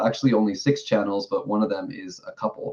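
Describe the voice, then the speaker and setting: A man with a New York accent talks at a fairly low pitch. His pace is moderate and his pitch varies in an ordinary way. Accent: New York American. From New York City. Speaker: streamer. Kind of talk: casual interview.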